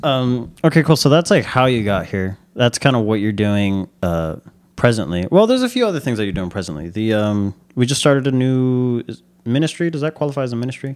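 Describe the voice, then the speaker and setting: In an ordinary speaking voice, a man at medium pitch talks fairly quickly with lively intonation. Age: 20s. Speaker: church podcast host. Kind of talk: casual interview chat.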